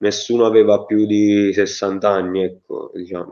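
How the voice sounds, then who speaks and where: A man talks at a fairly low pitch and a fairly slow pace, with monotone, flat intonation. The background is quiet. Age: 20s. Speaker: bereaved son; interviewee. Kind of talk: testimony. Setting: video call. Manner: halting. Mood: grieving, indignant. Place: home room. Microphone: video call.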